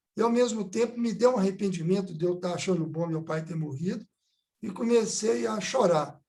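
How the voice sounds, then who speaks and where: A man speaks at a moderate pace with a high pitch. His tone is dark and mellow, with ordinary pitch variation. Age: 70s. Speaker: physician and environmental activist. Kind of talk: seminar talk, personal testimony.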